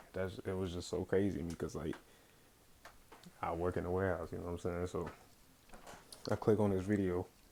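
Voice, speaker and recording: A dark, mellow tone moves at a fairly quick pace, broken by long, frequent pauses. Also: man, very deep, low pitch for a man. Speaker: vlogger, warehouse worker. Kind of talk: casual monologue vlog. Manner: halting, many fillers and restarts.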